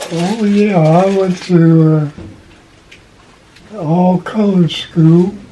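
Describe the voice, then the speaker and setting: Noticeable background noise sits behind a man with a high pitch. He talks very slowly with fairly even intonation and long, frequent pauses. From Kentucky. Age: 90s. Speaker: retired postal worker. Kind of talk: interview answer.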